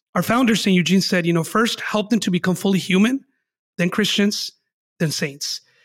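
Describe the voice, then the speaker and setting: The voice moves at a moderate pace in a very clean recording with a silent background. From Southern California, Los Angeles area. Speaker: missionary priest. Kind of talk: interview.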